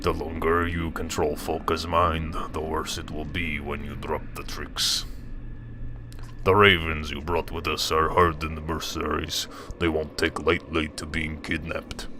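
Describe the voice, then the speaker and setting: A man puts on a character voice with a very deep, low pitch at a moderate pace. Background noise is clearly audible. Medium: actual play. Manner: stern, pressing.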